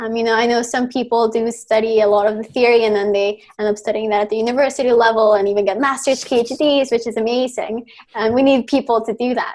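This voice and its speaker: A woman's very fast, monotone, flat delivery at a fairly high pitch, in a Spanish accent. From Mexico City, Mexico. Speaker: rock band singer and university student. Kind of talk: podcast interview.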